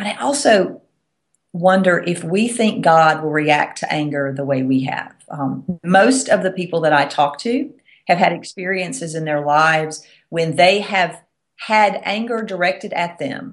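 Here a woman speaks with a fairly low pitch. Her intonation is lively. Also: fairly slow pace. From US South. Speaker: Episcopal priest and author. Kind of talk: teaching talk on faith.

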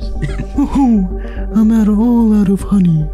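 A female-sounding, put-on character voice speaks at medium pitch. Clear music plays in the background. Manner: soft, gentle, slow.

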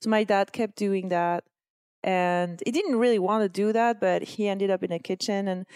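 A woman with a French accent speaks at a moderate pace and medium pitch with ordinary pitch variation and a dark, mellow tone, on a very clean recording with a silent background and a dry, close sound with no echo. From France. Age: 40s. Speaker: blogger and entrepreneur. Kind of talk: casual interview.

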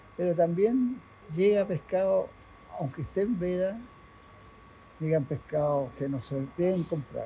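High-pitched for a man yet dark and mellow in tone, he speaks at a fairly slow pace with long, frequent pauses. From Chile, Valparaíso (Playa Ancha). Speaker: fishmonger. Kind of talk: casual interview. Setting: market stall at workplace.

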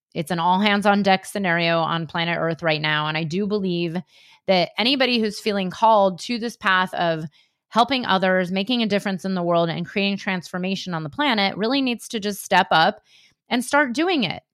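This woman has a normal speaking voice at medium pitch. Her pitch variation is ordinary. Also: fairly quick pace. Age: 40s. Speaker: spiritual business coach and podcast host. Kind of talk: solo podcast monologue.

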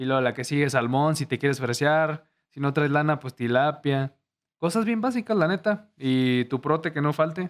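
A man speaks in a plain, everyday voice at a moderate pace. His pitch is fairly high, with ordinary variation. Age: 20s. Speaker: YouTuber. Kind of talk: casual chat.

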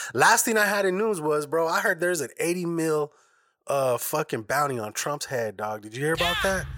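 A man speaks at a fairly quick pace in a fairly high pitch, his bright, sharp tone carried by lively intonation over a very clean recording with a silent background. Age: 30s. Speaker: podcast host and editor. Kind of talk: casual chat.

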